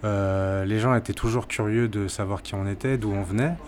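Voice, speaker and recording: Against noticeable background noise, a man with a fairly low voice and ordinary pitch variation speaks at a fairly slow pace. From Martinique. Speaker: traveller. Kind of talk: interview. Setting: restaurant. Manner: halting.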